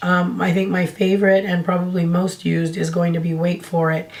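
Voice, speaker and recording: Amid noticeable background noise, a woman with a fairly low pitch speaks at a moderate pace in a monotone, flat intonation. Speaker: beauty YouTuber. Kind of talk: casual talk to camera.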